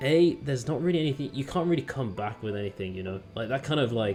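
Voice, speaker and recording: Over background music, a man talks at a very fast pace with lively intonation. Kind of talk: casual talk to camera.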